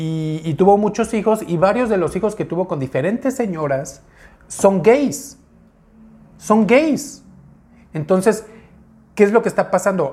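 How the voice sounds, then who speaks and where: A man talks at a fairly slow pace with long, frequent pauses, his high pitch moving through very wide swings. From Mexico, Uruapan, Michoacán. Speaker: YouTuber. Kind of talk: personal story monologue. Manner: casual, conversational.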